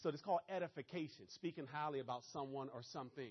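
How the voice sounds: Talking at a fast pace with a Maryland accent, a man uses a fairly high pitch with ordinary pitch variation.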